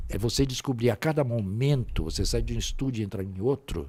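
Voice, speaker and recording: A man talks at a fairly quick pace, somewhat breathy, with lively intonation. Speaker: voice actor. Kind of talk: interview answer.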